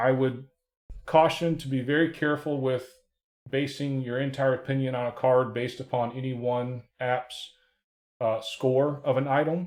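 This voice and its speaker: A man at medium pitch, moderate pace and monotone, flat intonation. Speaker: sports card collector reviewing apps. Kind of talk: screen-share tutorial review. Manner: casual with many fillers.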